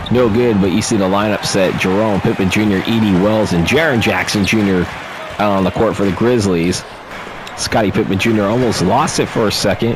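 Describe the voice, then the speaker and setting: Over crowd noise and audible room echo, a man talks at a fairly quick pace with a fairly low pitch and very even loudness. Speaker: video game commentator. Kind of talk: live play-by-play commentary. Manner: fast; subdued, not very excited.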